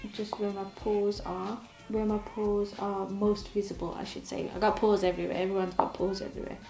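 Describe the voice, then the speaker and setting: A woman talks at a fairly quick pace. Noticeable background noise and audible room echo come through. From English Midlands. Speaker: beauty YouTuber. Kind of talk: chatty makeup tutorial. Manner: casual, conversational.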